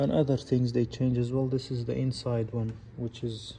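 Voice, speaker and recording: In a non-native accent, a man speaks at a very slow pace, his dark, mellow tone somewhat breathy and his intonation monotone and flat. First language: not English. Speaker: car mechanic. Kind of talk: tutorial.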